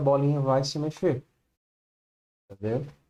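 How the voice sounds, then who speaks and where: This is a man speaking. His pitch is fairly high. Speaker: programming teacher. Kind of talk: online class. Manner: slow.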